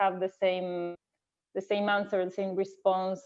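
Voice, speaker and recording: A woman is speaking. She has a non-native accent. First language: not English. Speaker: fencing coach. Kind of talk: panel discussion. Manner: halting, many fillers and repeats.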